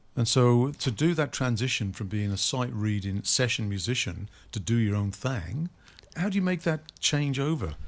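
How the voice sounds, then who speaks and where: A man speaks in a Welsh accent at a medium pitch. His pitch swings very widely as he goes at a moderate pace. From Wales. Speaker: radio host. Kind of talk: radio interview. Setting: radio studio.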